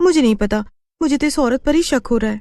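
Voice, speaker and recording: A very fast, high-pitched, cartoonish character voice that sounds female. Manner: wary, questioning.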